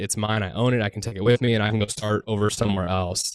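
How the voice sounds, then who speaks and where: In a dry, close sound with no echo and a very clean recording with a silent background, a man talks fairly quickly in a normal speaking voice at a medium pitch. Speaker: short term rental investor. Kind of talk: casual round table chat.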